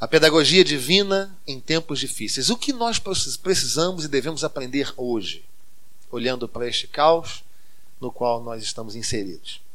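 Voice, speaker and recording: A man's fairly high-pitched voice with lively intonation and audible room echo. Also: moderate pace. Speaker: pastor. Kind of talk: sermon. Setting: church.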